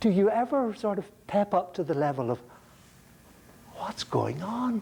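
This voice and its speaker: Using lively intonation and an Irish accent, a man with a high voice speaks at a fairly slow pace. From Ireland. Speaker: philosophy lecturer. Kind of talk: lecture. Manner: halting, frequent repetitions; animated.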